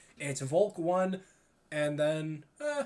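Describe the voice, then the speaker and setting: A man's fairly high-pitched voice with a Canadian accent. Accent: Canadian, stronger when talking fast. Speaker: video game streamer. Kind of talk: casual live stream chat. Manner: animated.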